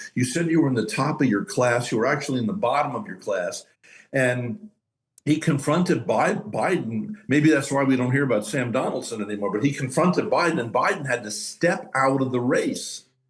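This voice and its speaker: Talking at a fairly quick pace, this man has a fairly high, somewhat breathy voice and lively intonation. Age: 70s. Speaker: talk show host. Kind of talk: panel discussion. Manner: halting.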